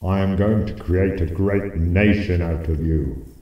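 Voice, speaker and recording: In a cartoonish character voice with a very deep, low pitch, a man speaks at a fairly slow pace with clear echo. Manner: grandiose, easily irritated.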